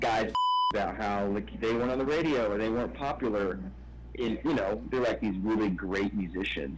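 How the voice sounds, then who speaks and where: A man talks at a moderate pace with noticeable background noise. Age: 30s. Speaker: rock musician. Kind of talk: interview.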